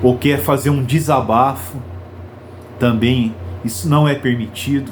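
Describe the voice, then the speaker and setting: A man talks at a fairly slow pace, with audible room echo and noticeable background noise. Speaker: preacher. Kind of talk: sermon. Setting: live stream. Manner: slow, with pauses.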